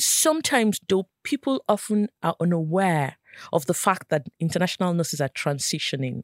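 A woman in a Nigerian accent, fairly low in pitch, with lively intonation, very even loudness and a moderate pace, in a dry, close sound with no echo. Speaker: nurse, professional development lead. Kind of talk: interview discussion.

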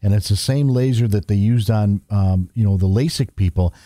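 On a very clean recording with a silent background and a dry, close sound with no echo, a man speaks in a dark, mellow tone at a fairly low pitch, with ordinary pitch variation and a moderate pace. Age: 60s. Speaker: eye care practitioner. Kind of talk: casual interview.

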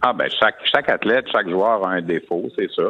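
A fairly quick-paced man with ordinary pitch variation. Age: 50s. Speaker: hockey analyst. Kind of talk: sports talk radio discussion.

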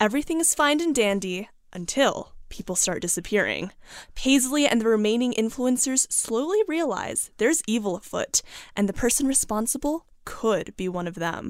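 A woman with a normal speaking voice talks at a moderate pace with lively intonation on a very clean recording with a silent background. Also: fairly high pitch for a woman. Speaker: summer intern, book reviewer. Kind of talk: interview about a book.

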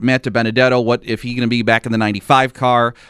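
Speaking at a fairly quick pace in a plain, everyday voice, a man holds a medium pitch, recorded with a dry, close sound with no echo. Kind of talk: radio DJ patter: live sports-radio hosting, chatty race talk with call-in number reads.

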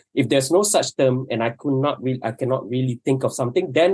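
A man talks very fast at a medium pitch. His intonation is lively. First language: Malay. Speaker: documentary filmmaker. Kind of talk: casual panel discussion. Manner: halting.

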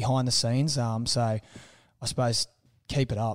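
A man at medium pitch with an Australian accent. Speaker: former rugby player and sports podcast co-host. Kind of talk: casual chat.

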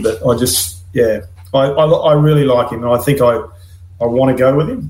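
A man with a Queensland accent talks at a moderate pace, with audible room echo. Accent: Australian, Queensland. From Gladstone, Queensland, Australia. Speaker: former rugby league player and assistant coach. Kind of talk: casual chat.

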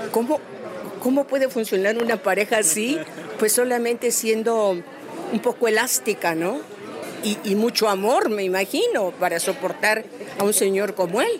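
A fairly high female voice at a fairly slow pace, very even in loudness with ordinary pitch variation, plus audible room echo and crowd noise in the background. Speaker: voice actress. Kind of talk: interview.

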